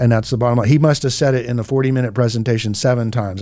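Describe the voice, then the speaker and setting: In an American accent, a man at medium pitch speaks at a very fast pace. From Southern California. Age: 50s. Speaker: real estate agent and radio show host. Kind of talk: radio show conversation.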